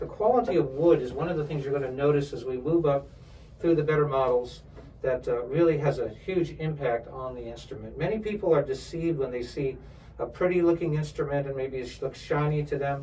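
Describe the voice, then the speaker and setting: Here is a man with a normal speaking voice, fairly high in pitch. He moves at a fairly quick pace with ordinary pitch variation. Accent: American. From New York area. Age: 60s. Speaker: violin instructor and professional string player. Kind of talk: product demonstration. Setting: music store.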